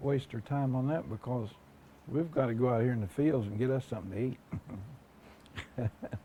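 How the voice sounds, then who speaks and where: Somewhat breathy and dark, mellow in tone, a man with an American accent speaks at a fairly slow pace with a medium pitch and ordinary pitch variation. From southeastern Ohio, US. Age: 60s. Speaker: oral history interviewee. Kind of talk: oral history interview. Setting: at his home. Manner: halting, many fillers.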